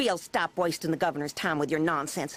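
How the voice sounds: A growling, cartoonish character voice at a middle pitch and a fairly quick pace.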